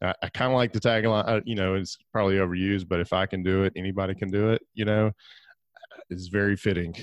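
A man with an Alabama accent talks at a very fast pace in a very deep, low pitch with fairly even intonation. The sound is dry and close with no echo, over a quiet background. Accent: Southern US (Alabama). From US South, northeast Alabama. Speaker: real estate investor and podcast host. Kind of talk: interview.

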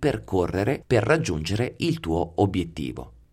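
The recording is very clean, and the background is silent. A man speaks at a moderate pace. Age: 40s. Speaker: psychology podcast host. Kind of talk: solo podcast monologue.

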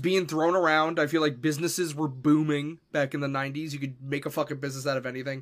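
On a very clean recording with a silent background, a man with a New York accent speaks at a fairly high pitch and a fairly quick pace. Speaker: podcast co-host and streamer. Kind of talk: casual chat.

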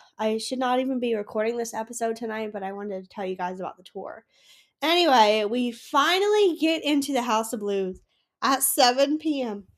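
A high-pitched woman with an animated tone, lively intonation and a fairly quick pace. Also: very clean recording, silent background. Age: 20s. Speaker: podcast host. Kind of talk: casual chat.

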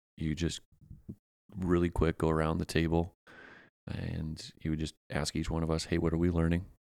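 A man with an American accent speaks at a very deep, low pitch in monotone, flat intonation. The recording is very clean, with a silent background. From Pennsylvania. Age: 30s. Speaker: youth soccer coach. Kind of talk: casual chat.

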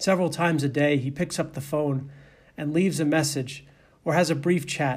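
With a Boston accent, a man speaks at a moderate pace in a fairly high, somewhat breathy voice with monotone, flat intonation, and audible room echo surrounds him. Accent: Boston American. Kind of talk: sermon.

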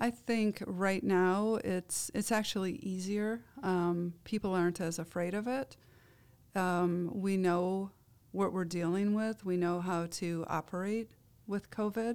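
In an ordinary speaking voice, a woman with an American accent talks at a fairly slow pace with fairly even intonation on a very clean recording with a silent background. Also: medium pitch for a woman. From Iowa. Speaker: nurse and healthcare leader. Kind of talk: interview.

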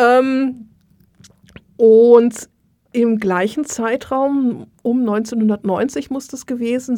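Recorded very cleanly against a silent background, a woman speaks in a fairly high voice with fairly even intonation. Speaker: Egyptologist and museum worker. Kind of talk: casual chat.

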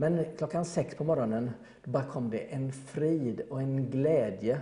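A man speaks in an unremarkable speaking voice at a medium pitch. His pitch varies in an ordinary way. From Gothenburg, Sweden. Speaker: electrician. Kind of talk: interview testimony.

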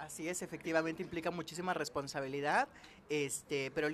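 Here a man talks at a fairly quick pace and a fairly high pitch. Music sits in the background. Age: 20s. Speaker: chemical engineer and youth career coach. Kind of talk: interview.

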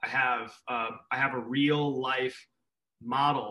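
A man speaks with an American accent at medium pitch. His tone is bright and sharp. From Minneapolis, US Midwest. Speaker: artist and school speaker. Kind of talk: interview.

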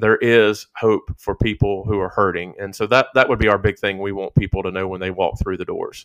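Speaking in a Southern US accent, a man keeps a fairly low pitch and a moderate pace. His intonation stays fairly even. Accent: Southern country. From southern Virginia. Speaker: pastor. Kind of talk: casual chat.

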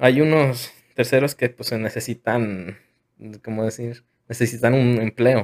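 A man's unremarkable speaking voice at a medium pitch with fairly even intonation, in a very clean recording over a silent background. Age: 20s. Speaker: podcast host. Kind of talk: casual chat.

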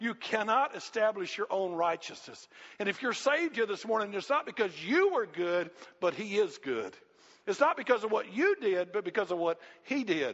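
A man talks with a Southern US accent at a moderate pace. His voice is high-pitched with lively intonation. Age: 60s. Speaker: pastor. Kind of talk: sermon. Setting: church. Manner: animated.

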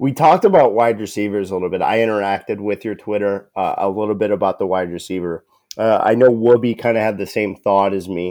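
Very fast speech from a man with an American accent, fairly low in pitch and dark, mellow in tone, fairly even in intonation, with hardly any pauses and a quiet background. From Northeast Ohio (Perry, east of Cleveland). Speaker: podcast co-host. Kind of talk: casual chat. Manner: mumbling.

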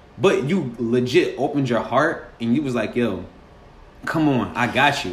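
Audible room echo carries a man's voice as he speaks at a moderate pace. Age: 20s. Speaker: podcast host. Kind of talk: casual chat.

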